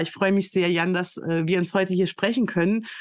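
This woman's pitch sits in the medium range. She talks very fast. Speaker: podcast host and recruiting consultant. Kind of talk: casual interview.

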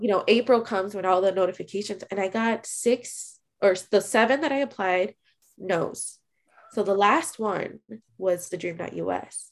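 A woman at a medium pitch with an American accent, ordinary pitch variation and a moderate pace. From Chicago. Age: 20s. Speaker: DACA recipient sharing story. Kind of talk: casual interview.

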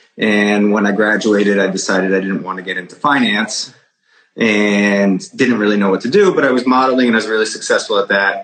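A man with a northeastern US accent, fairly low in pitch, fairly quick in pace, and fairly even in intonation. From Connecticut, Fairfield County. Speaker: real estate broker. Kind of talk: interview.

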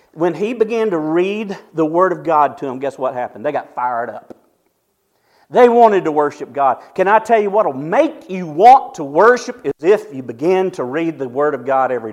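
A man speaks at a moderate pace in a high voice. His pitch swings very widely and his loudness rises and falls a lot. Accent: Southern US. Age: 50s. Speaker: pastor. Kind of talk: sermon.

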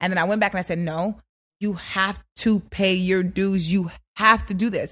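The recording is very clean, with a silent background. The voice is somewhat breathy and shows ordinary pitch variation. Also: woman. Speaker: radio personality. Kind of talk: casual interview. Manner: fast talker.

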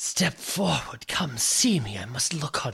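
A man's put-on character voice, growling and whispering. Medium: actual play. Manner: imperious, commanding.

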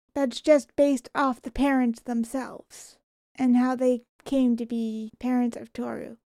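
A soft-spoken woman's high-pitched voice, dark and mellow in tone, monotone and flat, at a fairly slow pace, with big swings in loudness and a dry, close sound with no echo. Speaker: podcast guest, host's sister. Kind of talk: casual chat.

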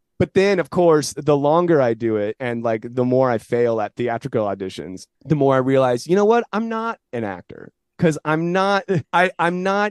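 With a Californian accent, a man speaks at a moderate pace with very wide pitch swings, the sound dry and close with no echo. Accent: General American (Californian). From US West Coast, San Jose, California. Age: 30s. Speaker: commercial actor and comedian. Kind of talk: casual interview chat.

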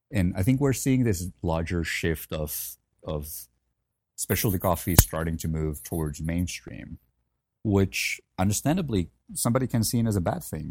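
Recorded very cleanly against a silent background, a man with a Finnish accent talks at a moderate pace in a very deep, low voice with lively intonation and a dry, close sound with no echo. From Finland, Helsinki. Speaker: coffee company founder and former barista champion. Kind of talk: casual interview.

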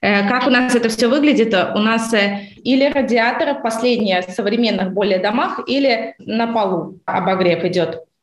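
A woman's fairly high voice at a moderate pace, hardly any pauses, ordinary pitch variation and audible room echo. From Baltic states. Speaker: real estate company head. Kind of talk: interview.

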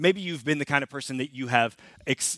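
With a bright, sharp tone and lively intonation, a man talks at a very fast pace in a dry, close sound with no echo. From Canada. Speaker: pastor. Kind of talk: sermon. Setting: church. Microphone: new clip-on microphone.

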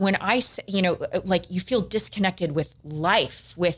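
A woman's somewhat breathy voice at a medium pitch, with a moderate pace and ordinary pitch variation. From Southern California, San Diego. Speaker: business executive. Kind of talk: casual interview.

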